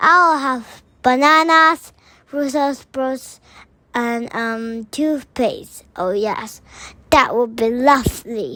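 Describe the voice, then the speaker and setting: At a very slow pace, someone does a put-on character voice in a very clean recording with a silent background. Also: woman, high pitch for a woman. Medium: read story.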